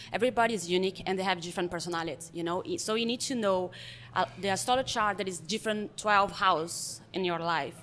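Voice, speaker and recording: A woman with a Brazilian accent, medium in pitch, very fast, with ordinary pitch variation, on a very clean recording with a silent background. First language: Portuguese. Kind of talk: casual chat.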